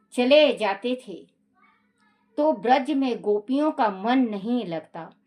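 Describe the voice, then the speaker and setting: Against a quiet background, a woman speaks in an ordinary speaking voice. Her pitch is fairly high, with lively intonation. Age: 60s. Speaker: religious storyteller. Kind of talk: casual chat; reading aloud.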